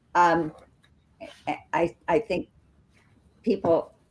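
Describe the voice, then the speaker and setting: The speaker has an American accent. Every word comes out at a very slow pace. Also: woman. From US Midwest, northern Wisconsin. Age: 70s. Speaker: debut book author. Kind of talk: interview conversation.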